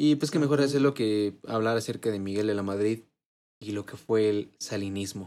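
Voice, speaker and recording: Speaking with a Mexican accent, a man uses a fairly low pitch, a dark, mellow tone, ordinary pitch variation and a moderate pace. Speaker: podcast co-host. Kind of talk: casual chat.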